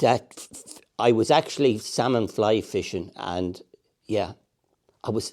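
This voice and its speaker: In a Tipperary accent, the voice has a dark, mellow tone on a very clean recording with a silent background. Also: man. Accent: Irish, Tipperary. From Ireland, Clonmel, County Tipperary. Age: 60s. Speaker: angler and retired primary school teacher. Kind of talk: casual interview.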